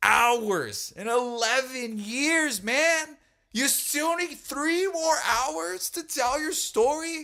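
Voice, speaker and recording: A man's raised, projected voice, very slow, bright and sharp in tone, with lively intonation, on a very clean recording with a silent background. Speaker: podcast host and rock drummer. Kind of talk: heated casual debate.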